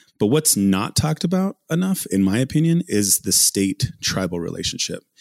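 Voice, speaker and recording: Lively in intonation, a man with an American accent talks in a normal speaking voice at fairly low pitch. The sound is dry and close with no echo, on a very clean recording with a silent background. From southwestern Colorado, Ute Mountain Ute Reservation. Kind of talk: interview.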